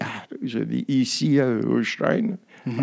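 At a very slow pace, a man speaks at medium pitch in a dark, mellow tone. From Nigeria. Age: 60s. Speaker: musician and author. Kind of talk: interview. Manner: halting.

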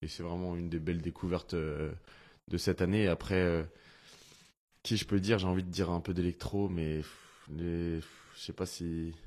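A man's very deep, low voice with monotone, flat intonation at a moderate pace against a quiet background. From Finistère, Brittany, France. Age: 30s. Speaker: professional footballer. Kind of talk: casual interview.

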